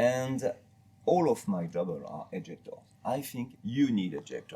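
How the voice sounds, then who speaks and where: A man speaks at a fairly slow pace in a French accent. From France. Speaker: master gunsmith. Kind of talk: interview about products. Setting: retail store.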